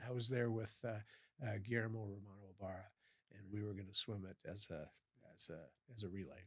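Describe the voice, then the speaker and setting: A man with a fairly low, somewhat breathy voice talks at a fairly quick pace with fairly even intonation, big swings in loudness, and long, frequent pauses. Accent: American. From US Midwest (western Iowa, Sioux City). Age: 60s. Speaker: professor and endurance swimmer. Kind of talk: podcast interview. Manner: halting, many fillers and repeats.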